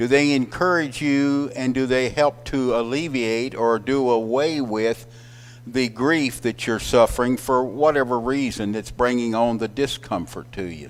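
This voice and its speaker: This man talks at a fairly slow pace. His pitch is medium. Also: ordinary pitch variation. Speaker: Bible class teacher. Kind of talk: Bible class lecture. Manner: loud.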